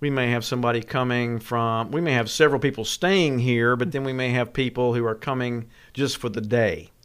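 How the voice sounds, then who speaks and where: On a very clean recording with a silent background, a man speaks at medium pitch and a fairly quick pace with fairly even intonation. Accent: Tennessee. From West Tennessee. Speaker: tourism director. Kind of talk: interview.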